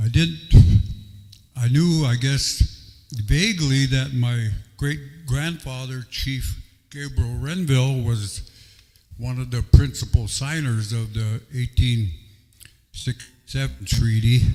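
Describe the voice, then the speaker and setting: A man with an American accent talks at a very slow pace, his voice somewhat breathy and medium in pitch with ordinary pitch variation. Long pauses come often. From US Midwest, Dakota reservations. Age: 70s. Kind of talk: public talk to audience.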